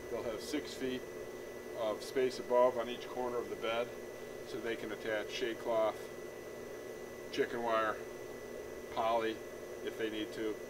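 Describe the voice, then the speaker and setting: Noticeable background noise sits behind a man who speaks at a fairly slow pace with long, frequent pauses. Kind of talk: tutorial. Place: garden. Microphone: lapel.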